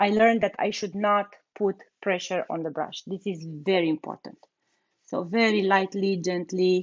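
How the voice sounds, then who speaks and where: A woman speaks with a non-native accent at a medium pitch. Her pace is moderate and her intonation fairly even. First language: not English. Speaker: furniture painter and content creator. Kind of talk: live tutorial. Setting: livestream. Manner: halting, many fillers and repetitions.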